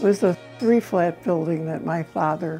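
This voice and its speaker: A woman with an American accent at a very slow pace, music in the background. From Chicago. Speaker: grandmother sharing family memories. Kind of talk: interview answer.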